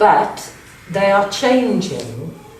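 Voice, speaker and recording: Here a woman speaks with lively intonation. Audible room echo and noticeable background noise fill the recording. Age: 60s. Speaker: county councillor. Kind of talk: interview. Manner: halting.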